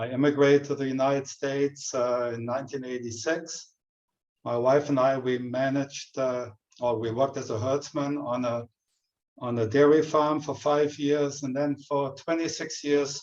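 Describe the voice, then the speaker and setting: A man speaks with a German accent at a moderate pace. His voice sits fairly high and his intonation is flat and monotone. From Germany. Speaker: retired dairy farmer and education coordinator. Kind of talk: webinar presentation.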